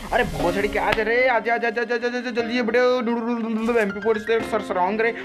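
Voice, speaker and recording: Music plays behind a man whose extremely high pitch comes with very even loudness. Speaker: gaming commentator. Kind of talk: energetic game commentary.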